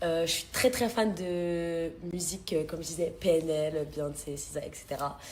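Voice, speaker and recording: A woman's fairly low voice with ordinary pitch variation at a fairly slow pace, with audible room echo. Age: 20s. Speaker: reality TV contestant. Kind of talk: casual chat.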